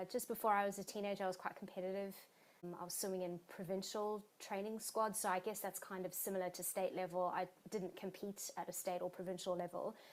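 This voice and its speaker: A woman rattles along very fast in a South African accent, her intonation monotone and flat. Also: medium pitch for a woman. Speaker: exercise physiologist and marathon swimmer. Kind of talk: interview.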